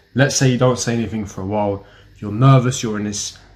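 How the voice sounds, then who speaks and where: The speaker has a British accent and a somewhat breathy voice. Delivery is fairly quick with fairly even intonation. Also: man. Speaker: self-help YouTuber. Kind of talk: advice monologue to camera.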